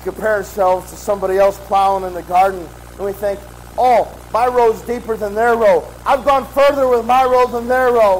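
Over noticeable background noise, a man with a high pitch talks at a moderate pace with ordinary pitch variation. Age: 30s. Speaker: pastor. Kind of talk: sermon.

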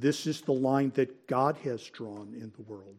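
At a moderate pace, a man with a fairly high pitch and ordinary pitch variation speaks in an unremarkable speaking voice, in a very clean recording with a silent background. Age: 60s. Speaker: Sunday school teacher. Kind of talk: Bible lecture. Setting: church classroom.

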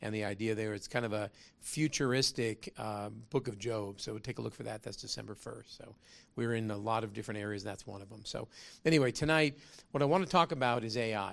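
This man has a plain, everyday voice, talking at a fairly quick pace with ordinary pitch variation and big swings in loudness. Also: medium pitch for a man. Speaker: business founder and lecturer. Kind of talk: lecture with humor and moral exhortation. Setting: live lecture hall with audience. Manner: conversational, preachy, jokes.

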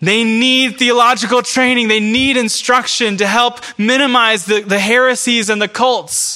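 This man's voice is raised and projected, with an extremely high pitch. He talks fairly slowly with hardly any pauses, very even loudness and fairly even intonation. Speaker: pastor. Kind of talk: sermon.

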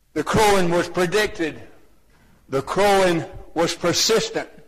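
Speaking in a Southern US accent, the man keeps to a fairly slow pace. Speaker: lay preacher. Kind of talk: sermon. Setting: church.

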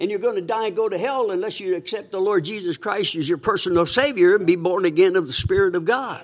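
Hardly pausing at all, a man speaks at a very fast pace with a high pitch and ordinary pitch variation. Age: 80s+. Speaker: visiting preacher. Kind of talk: sermon. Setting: church with congregation.

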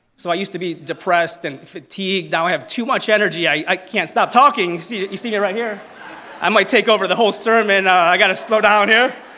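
Over noticeable background noise, a man projects a raised, warm-toned voice at a high pitch, speaking very fast with ordinary pitch variation. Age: 30s. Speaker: church member giving testimony. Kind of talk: testimony. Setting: church with congregation. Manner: humorous, warm.

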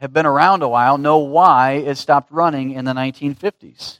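In a dry, close sound with no echo and a quiet background, a man with a plain, everyday voice speaks at a moderate pace, with fairly high pitch for a man and fairly even intonation. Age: 30s. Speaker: pastor. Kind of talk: sermon.

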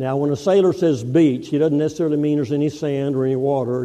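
The speaker has a Texan accent and a fairly quick pace. The tone is dark and mellow. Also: man. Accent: Texan US Southern. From Texas. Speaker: guest preacher, navy veteran. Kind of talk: sermon.

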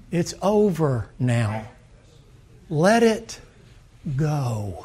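A man with a Southern US accent speaks in a fairly high pitch with very wide pitch swings, a somewhat breathy quality and a dark, mellow tone, with audible room echo. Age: old. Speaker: preacher. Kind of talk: sermon. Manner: animated.

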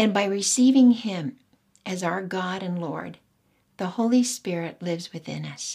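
A woman speaks at a fairly slow pace in a medium pitch with a dark, mellow tone, ordinary pitch variation, big swings in loudness and a somewhat breathy quality. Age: 70s. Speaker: women's Bible study teacher. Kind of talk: Bible teaching.

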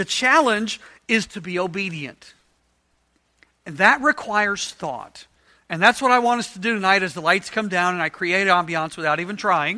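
A man's high, bright, sharp, raised and projected voice with lively intonation at a moderate pace, in a very clean recording with a silent background. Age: 50s. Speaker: Bible study teacher. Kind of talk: interactive Bible study lesson. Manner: conversational, casual.

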